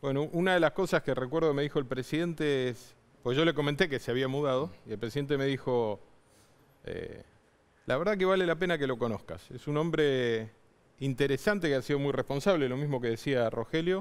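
A man's normal speaking voice, fairly high, fairly quick, with ordinary pitch variation. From Argentina. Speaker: mayor. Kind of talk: political interview. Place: studio. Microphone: headset.

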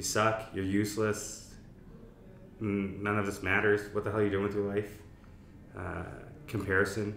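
Light background noise and audible room echo surround a man speaking at a moderate pace in a fairly low, monotone, flat voice, with long, frequent pauses. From East Africa. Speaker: mental health campaign founder, podcast host; podcast guest. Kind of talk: casual interview chat. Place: meeting room.

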